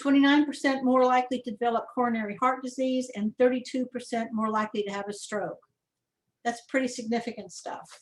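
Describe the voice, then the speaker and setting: A woman talks at a very fast pace in a high voice. Her intonation stays fairly even. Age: 60s. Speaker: adult daycare provider giving a talk on loneliness. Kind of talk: webinar presentation. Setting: online webinar. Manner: halting, with frequent fillers and restarts.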